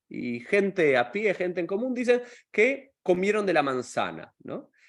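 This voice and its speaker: A man talks in a high pitch with an Argentine accent. His pace is moderate and the background is quiet. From Argentina. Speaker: rabbi and podcast host. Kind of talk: interview podcast. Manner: casual, chatty.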